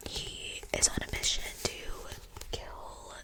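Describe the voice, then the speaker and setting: A woman whispers over noticeable background noise. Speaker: ASMR creator. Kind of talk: ASMR book haul, casual talk to camera.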